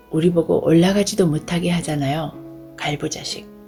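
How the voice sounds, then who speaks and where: A woman's fairly low voice at a fairly slow pace, with ordinary pitch variation and music in the background. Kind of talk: audiobook reading.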